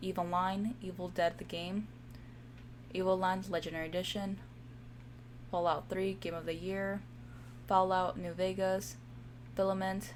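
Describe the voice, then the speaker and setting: Over audible room echo, a woman talks at a moderate pace with long, frequent pauses. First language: Spanish. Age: 20s. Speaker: gaming streamer. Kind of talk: casual gameplay commentary. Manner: halting, stumbles over words.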